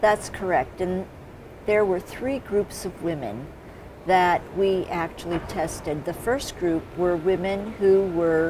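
Against noticeable background noise, a woman speaks at a very slow pace with ordinary pitch variation. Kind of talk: interview answer. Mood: calm, explanatory.

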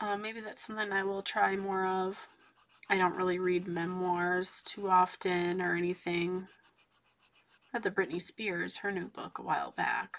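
Soft-spoken woman at a moderate pace, medium pitch, monotone, flat intonation. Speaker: coloring channel host. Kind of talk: casual chat while coloring. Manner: quiet, soft-spoken. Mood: relaxed, chatty.

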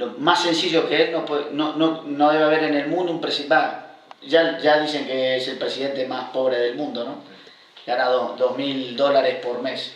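Moderate pace and fairly even intonation in an Uruguayan accent, with audible room echo. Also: man, fairly high pitch for a man. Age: 50s. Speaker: long-term unemployed worker; guest. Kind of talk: interview. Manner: halting, many repetitions. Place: home room. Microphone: camera far.

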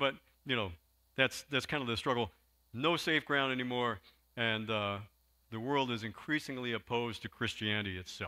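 This man talks at a fairly quick pace. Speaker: pastor. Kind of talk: sermon. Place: church. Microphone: handheld.

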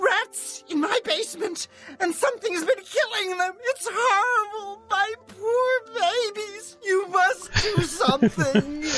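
A woman uses a put-on character voice at an extremely high pitch, talking at a fairly slow pace. Clear music plays in the background. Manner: cartoonish.

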